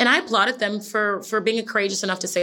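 A voice with a bright, sharp tone moves at a fairly quick pace in a very clean recording with a silent background. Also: woman. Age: 30s. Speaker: fitness instructor and makeup artist. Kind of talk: interview.

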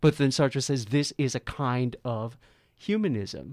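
Here a man has an unremarkable speaking voice at medium pitch with ordinary pitch variation. He talks at a fairly slow pace in a dry, close sound with no echo. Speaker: podcast host. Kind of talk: podcast interview.

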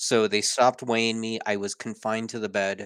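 A man with an unremarkable speaking voice talks at a moderate pace and medium pitch in a very clean recording with a silent background. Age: 40s. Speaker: weight loss survivor and speaker. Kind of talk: interview. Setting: home office.

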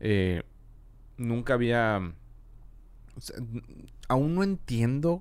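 A man's medium-pitched voice moves along at a very slow pace. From Mexico, Monterrey. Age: 30s. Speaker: audio engineer and videographer. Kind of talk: casual chat. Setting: studio.

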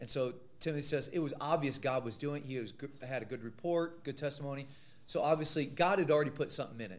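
At a very fast pace, a man with an American accent speaks at a fairly high pitch with ordinary pitch variation. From US Midwest, Missouri. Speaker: Bible college teacher. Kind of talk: lecture.

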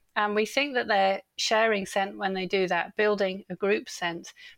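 A woman speaks at medium pitch with an English accent and fairly even intonation, recorded very cleanly against a silent background with a dry, close sound and no echo. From England. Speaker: animal psychologist and author. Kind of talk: casual interview chat.

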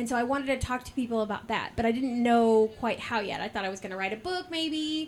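With a high pitch, lively intonation and hardly any pauses, a woman talks at a very fast pace. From US South, Georgia (Warner Robins). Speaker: podcast host and market vendor. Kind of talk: casual interview. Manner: talkative.

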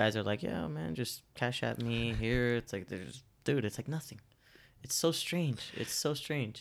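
A man speaks in an unremarkable speaking voice at medium pitch. His pace is fairly slow, with lively intonation. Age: 20s. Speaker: podcast host. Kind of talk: casual interview.

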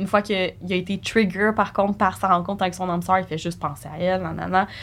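The voice is an unremarkable speaking voice at a fairly quick pace. Its intonation is fairly even. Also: woman. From Quebec. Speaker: podcast co-host. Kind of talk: casual chat.

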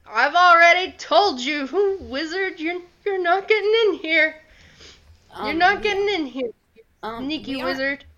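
This put-on character voice sounds shaky and moves at a fairly slow pace. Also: woman, extremely high pitch for a woman. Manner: fearful, distrustful.

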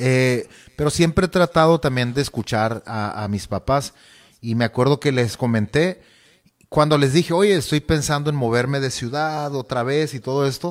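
On a very clean recording with a silent background, an unremarkable speaking voice shows ordinary pitch variation at a moderate pace. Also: man. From Mexico, Sonora (Nogales). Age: 30s. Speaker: singer and youth church leader. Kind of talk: casual interview.

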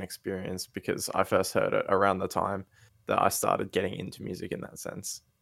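On a very clean recording with a silent background, a man with an Australian accent talks at a fairly quick pace. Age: 20s. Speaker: podcast co-host and rapper. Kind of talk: casual chat. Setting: voice chat stream.

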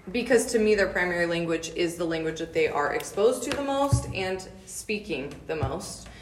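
Over noticeable background noise, a woman talks at a moderate pace with lively intonation. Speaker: speech language pathologist. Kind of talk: interview.

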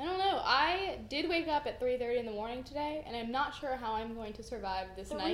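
A woman talks in a high pitch at a fairly quick pace with hardly any pauses. Her intonation is lively, over noticeable background noise. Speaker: podcast co-host. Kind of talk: casual chat. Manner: low-energy.

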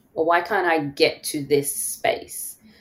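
Speaking at a very slow pace, the voice carries a strong London accent. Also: woman. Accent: London English, still strong. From London, England. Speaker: therapist and podcast host. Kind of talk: casual interview chat.

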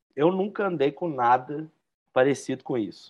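Talking at a fairly slow pace, this man has a plain, everyday voice, a fairly high pitch and ordinary pitch variation. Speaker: podcast co-host, aggressive skater. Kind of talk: casual chat.

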